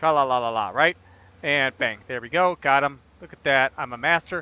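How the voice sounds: In an American accent, the voice has a clear, smooth tone, a moderate pace and ordinary pitch variation. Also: man, medium pitch for a man.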